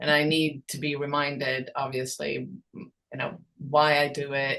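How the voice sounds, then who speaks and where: The tone is bright and sharp, with monotone, flat intonation. Loudness swings widely at a fairly slow pace. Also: woman, very deep, low pitch for a woman. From Sweden. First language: Swedish. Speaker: songwriter and creators' rights advocate. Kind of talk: podcast interview. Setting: podcast. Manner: hesitant, many fillers.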